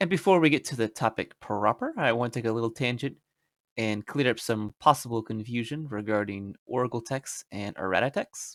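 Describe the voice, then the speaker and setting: A man with a normal speaking voice talks at medium pitch and a fairly quick pace. His pitch varies in an ordinary way, and the sound is dry and close with no echo. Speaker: YouTube card game rules explainer. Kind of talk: tutorial narration to camera. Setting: home recording, basic microphone. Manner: casual, many filler words.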